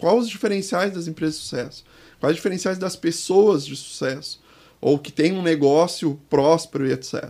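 Moderate pace and ordinary pitch variation in a high, dark, mellow male voice. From Porto Alegre, southern Brazil. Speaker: business consultant. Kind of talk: interview.

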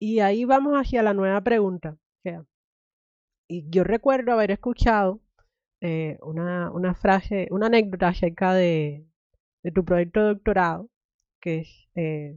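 A woman speaks at a fairly slow pace in a medium pitch, with ordinary pitch variation. Her pauses are long and frequent. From Cuba. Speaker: podcast host. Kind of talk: interview.

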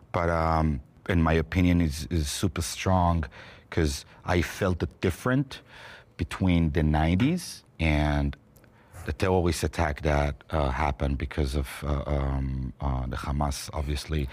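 With an Israeli accent, the speaker keeps a fairly slow pace and ordinary pitch variation. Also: man, very deep, low pitch for a man. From Israel, Jerusalem. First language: Hebrew. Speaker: roundtable participant, Israeli. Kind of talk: heated debate. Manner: halting.

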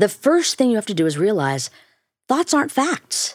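A woman with a Chicago accent speaks at a moderate pace in an animated tone with very wide pitch swings. The sound is dry and close with no echo, on a very clean recording with a silent background. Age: 50s. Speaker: neuroscientist and professor. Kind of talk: casual interview. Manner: brisk, slightly blunt; animated, laughs often.

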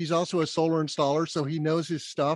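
A man with an American accent, a fairly high pitch, monotone, flat intonation, and a moderate pace, in a dry, close sound with no echo. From US Southwest (Albuquerque, New Mexico). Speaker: solar business development executive, podcast host. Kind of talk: casual interview.

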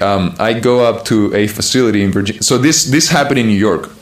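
A man speaks at a fairly quick pace in a Spanish accent, with ordinary pitch variation. Background noise is noticeable, along with audible room echo. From Chile. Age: 20s. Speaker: American football player. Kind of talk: interview.

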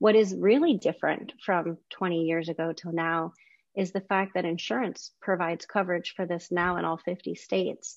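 A woman with a plain, everyday voice, fairly low in pitch, with ordinary pitch variation at a moderate pace. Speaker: podcast host, behavior analyst. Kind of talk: interview.

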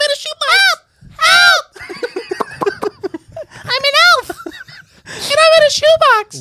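Someone uses a put-on character voice at an extremely high pitch and a very slow pace. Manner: playful, pleading.

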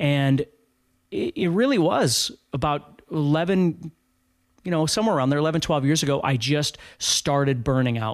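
A man with an Upper Midwest accent, fairly high in pitch, at a moderate pace. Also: ordinary pitch variation. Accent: Upper Midwest American. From North Dakota, US Upper Midwest. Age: 50s. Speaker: guitar teacher. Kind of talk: casual interview.

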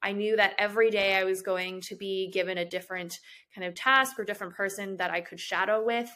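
A normal speaking voice with an American accent moves at a fairly quick pace. The intonation stays fairly even. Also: woman. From Chicago, US Midwest. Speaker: hospital administrative fellow. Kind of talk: interview.

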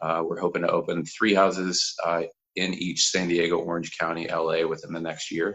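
Here a man speaks with an American accent and a very deep, low pitch. His delivery is monotone and flat, at a moderate pace. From Kansas, US Midwest. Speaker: addiction recovery case manager. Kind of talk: casual interview.

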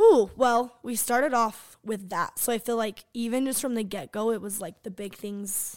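At a moderate pace with hardly any pauses, a woman speaks in a plain, everyday voice with a fairly high pitch and ordinary pitch variation, on a very clean recording with a silent background. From Sandy, Utah. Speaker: podcast co-host, hairstylist, former cheer coach. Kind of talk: casual chat.

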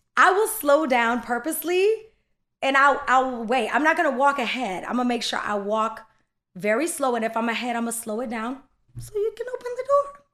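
A woman's high, bright, sharp voice with lively intonation at a fairly quick pace, on a very clean recording with a silent background. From Bahamas. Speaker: singer. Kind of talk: casual chat.

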